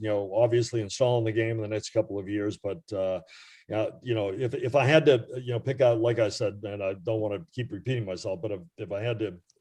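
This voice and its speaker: Over a quiet background, a man speaks fairly quickly at medium pitch, somewhat breathy with a dark, mellow tone and ordinary pitch variation. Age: 70s. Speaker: retired baseball radio reporter. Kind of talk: podcast interview. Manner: hesitant, many fillers.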